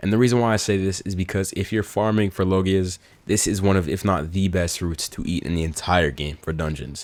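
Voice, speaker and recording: An energetic man's voice, very deep and low in pitch, at a fairly quick pace with hardly any pauses and ordinary pitch variation. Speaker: gaming YouTuber. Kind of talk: gaming commentary video. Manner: fast; casual, energetic.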